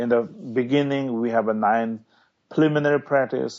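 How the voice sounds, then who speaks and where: A man talks at a medium pitch. He speaks with a Tibetan accent. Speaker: Tibetan lama, meditation teacher. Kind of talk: interview. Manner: halting.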